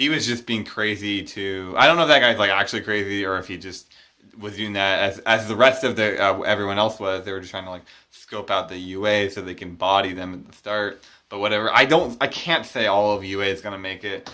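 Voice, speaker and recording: A man's fairly low voice, bright and sharp in tone, with ordinary pitch variation, big swings in loudness and a fairly quick pace. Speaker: manga chapter reviewer. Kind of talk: casual talk to camera.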